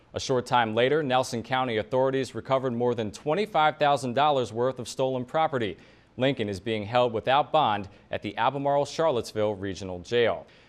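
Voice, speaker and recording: A man talking at a fairly quick pace over background music. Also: medium pitch for a man, ordinary pitch variation. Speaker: television news anchor. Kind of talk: TV news anchor read.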